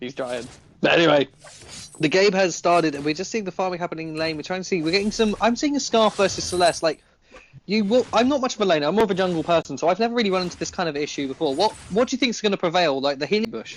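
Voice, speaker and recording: Talking at a very fast pace, a man with a British accent uses a high pitch and lively intonation. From Britain. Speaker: esports caster. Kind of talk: live commentary.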